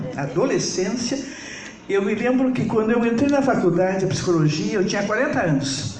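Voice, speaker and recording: A woman at a medium pitch, with very wide pitch swings and very even loudness, amid noticeable background noise and audible room echo. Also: moderate pace. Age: 70s. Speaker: psychologist. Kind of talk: lecture.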